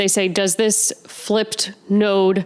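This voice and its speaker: A woman speaks at a medium pitch over noticeable background noise. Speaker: astrology podcast host. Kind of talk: Q&A monologue. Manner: casual, filler-heavy.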